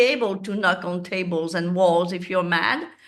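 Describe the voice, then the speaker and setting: The voice has a bright, sharp tone with audible room echo. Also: woman. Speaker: manifesting coach. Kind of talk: spiritual teaching monologue. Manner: calm.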